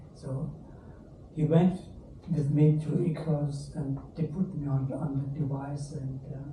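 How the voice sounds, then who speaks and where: A man speaks fairly slowly at a fairly high pitch, in a monotone, flat way with long, frequent pauses. Audible room echo surrounds his voice. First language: not English. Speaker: stroke patient. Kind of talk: testimony. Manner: halting.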